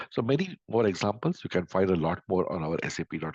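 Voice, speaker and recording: Vocal fry runs through this man's very deep, low-pitched voice. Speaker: software vendor speaker. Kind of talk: webinar presentation.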